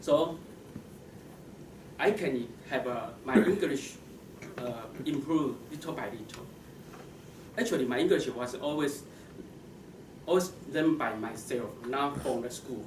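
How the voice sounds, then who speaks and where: A man with a fairly high voice speaks at a fairly slow pace with long, frequent pauses, lively intonation and big swings in loudness, amid noticeable background noise and audible room echo. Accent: Chinese. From Taiwan. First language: Mandarin Chinese. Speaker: computer science professional, club speaker. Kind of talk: prepared speech. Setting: stage with audience. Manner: halting, many false starts.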